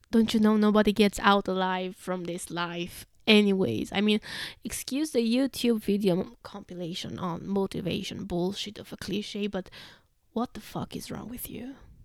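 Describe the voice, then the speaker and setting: This speaker has a Russian accent. The loudness swings widely from moment to moment. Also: woman, medium pitch for a woman, ordinary pitch variation, moderate pace. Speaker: podcaster reading own blog. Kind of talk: reading aloud.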